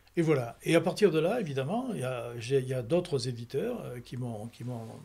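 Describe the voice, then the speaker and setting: Somewhat breathy and dark, mellow in tone, a man of medium pitch talks at a fairly quick pace. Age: 80s+. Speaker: retired entertainment professional and author. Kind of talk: interview. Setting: book fair. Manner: halting, many repetitions and restarts.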